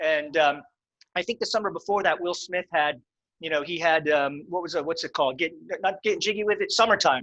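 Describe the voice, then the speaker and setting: This man talks at a fairly quick pace with an American accent, his high pitch carrying a bright, sharp tone and ordinary pitch variation, in a dry, close sound with no echo. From central Pennsylvania. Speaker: sommelier and show host. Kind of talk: interview.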